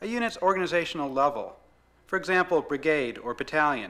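Fairly quick in pace, the voice has lively intonation and a bright, sharp tone. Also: man. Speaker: narrator. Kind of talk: scripted product demo narration. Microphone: old recording.

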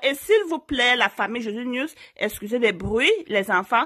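Loud and high-pitched, a woman speaks at a fairly slow pace with lively intonation against a quiet background. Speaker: YouTuber giving relationship advice. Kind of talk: story time vlog. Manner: naturally loud, forceful voice; hesitant, many fillers. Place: home room.

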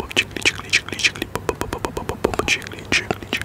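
A man's whisper. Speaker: ASMR creator. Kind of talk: ASMR trigger words and mouth sounds. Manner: whispered, soft. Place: garden. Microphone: studio mic.

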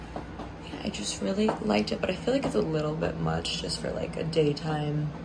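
Noticeable background noise is heard as a woman speaks at a moderate pace. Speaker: vlogger. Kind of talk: casual vlog chat. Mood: cheerful, relaxed. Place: home room. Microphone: phone near.

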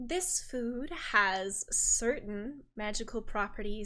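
The clip presents a natural reading voice.

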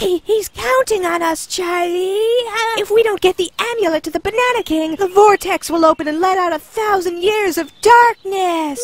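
A put-on character voice, extremely high in pitch, moving at a moderate pace. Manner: high-pitched, overexcited, melodramatic.

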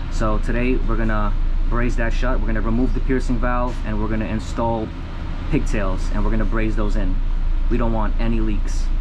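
A man talks at a moderate pace with very even loudness over noticeable background noise. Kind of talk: tutorial. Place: kitchen. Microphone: phone near.

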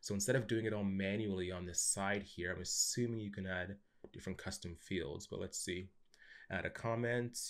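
A man with a Canadian accent, fairly low pitch and fairly even intonation, at a moderate pace against a quiet background. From Canada. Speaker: YouTube software tutorial host. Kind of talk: screen-share tutorial. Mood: curious, impressed.

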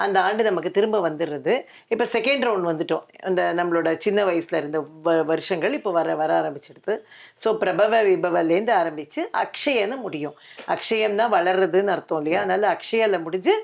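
Her voice a plain, everyday voice, a woman speaks at a medium pitch with ordinary pitch variation. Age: 60s. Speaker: interviewer. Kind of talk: interview.

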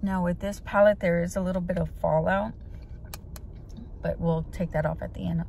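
Recorded dry with no echo and light background noise, a woman talks at a moderate pace. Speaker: beauty vlogger. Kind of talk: casual vlog chat. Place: car. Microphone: phone near.

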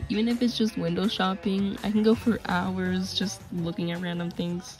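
A woman speaks quietly. Music plays in the background. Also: moderate pace. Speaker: college student. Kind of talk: application video talk to camera.

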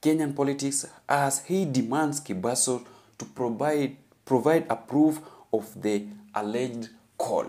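Fairly slow and with a dark, mellow tone, a man talks at a fairly high pitch. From Kenya. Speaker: YouTube political commentator. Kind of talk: news commentary. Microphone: phone near.

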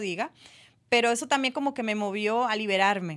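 Against a quiet background, the speaker talks at a moderate pace with ordinary pitch variation. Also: woman. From Dominican Republic. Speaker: actress; interview guest, actress. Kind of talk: radio interview. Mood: calm, reflective. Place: studio. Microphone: studio mic.

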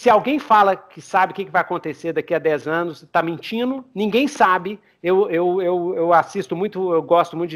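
Against a quiet background, a man with a high pitch talks at a moderate pace with hardly any pauses, showing ordinary pitch variation and big swings in loudness. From Brazil. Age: 40s. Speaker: podcast host, RPG game master; podcast host. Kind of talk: casual chat. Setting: online call. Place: home room. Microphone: headset.

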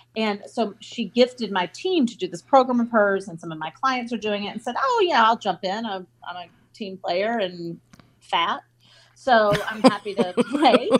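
Speaking in a Southern US accent at a moderate pace, a woman uses a fairly high pitch with ordinary pitch variation and big swings in loudness. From US South, North Carolina. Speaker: entrepreneur and author. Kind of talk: casual interview.

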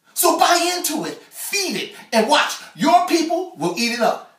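Speaking fairly slowly, a man uses an extremely high pitch and lively intonation with an American accent. The background is quiet, though room echo is audible. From Chicago. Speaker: spoken word artist. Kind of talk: spoken word poetry performance. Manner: rhythmic, emphatic. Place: home room. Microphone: camera far.

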